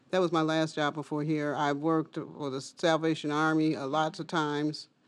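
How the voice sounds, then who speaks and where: Against a quiet background, a woman with an American accent speaks at a fairly slow pace with a very deep, low pitch. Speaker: food bank intake specialist. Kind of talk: casual chat.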